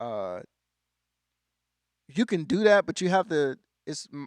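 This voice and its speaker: The sound is close and dry, without any echo. It's a man talking. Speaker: church keyboardist and music tutor. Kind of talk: live stream tutorial with chat reading. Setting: live stream from a church.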